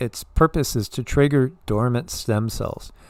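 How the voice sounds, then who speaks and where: An ordinary speaking voice talks at a moderate pace on a very clean recording with a silent background. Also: man. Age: 60s. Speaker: livestream co-host, energy healer. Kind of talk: casual chat; sales pitch.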